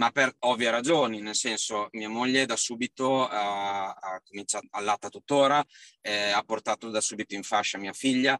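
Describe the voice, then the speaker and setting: In a dry, close recording with no echo, a man speaks at a moderate pace with a medium pitch, a bright, sharp tone and fairly even intonation. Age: 30s. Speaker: father and salesman. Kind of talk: interview. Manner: halting.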